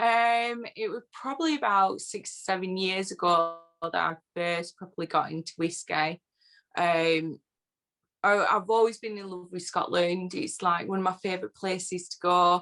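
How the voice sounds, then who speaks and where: A woman with a northern English accent and a bright, sharp tone. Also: medium pitch for a woman, ordinary pitch variation, moderate pace. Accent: northern English, often taken for Yorkshire. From northern England (Lancashire, born Yorkshire border). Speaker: whisky social media personality. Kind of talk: casual interview chat.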